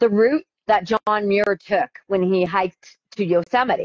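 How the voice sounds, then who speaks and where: A woman uses a normal speaking voice at a medium pitch, with ordinary pitch variation. The sound is dry and close, with no echo. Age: 50s. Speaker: ultrarunner. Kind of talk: interview.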